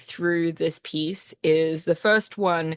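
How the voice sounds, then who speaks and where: A woman with a slight Australian accent talks at a very slow pace, her pitch fairly low. The background is quiet. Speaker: composer. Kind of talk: talk on own work. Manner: casual, many fillers.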